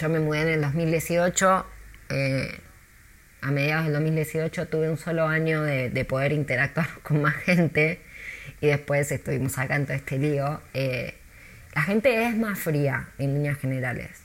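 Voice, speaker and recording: Her very deep, low voice shows ordinary pitch variation as the woman speaks at a fairly slow pace. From Argentina, Buenos Aires. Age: 40s. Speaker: tour guide. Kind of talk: interview.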